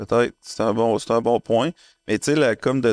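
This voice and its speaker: This is a man with a medium-pitched voice. The sound is dry and close, with no echo. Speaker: podcast co-host. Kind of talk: casual chat.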